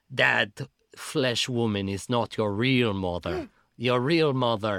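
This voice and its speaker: On a very clean recording with a silent background, a man performs a put-on character voice. He growls. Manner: snarling, dismissive, angry.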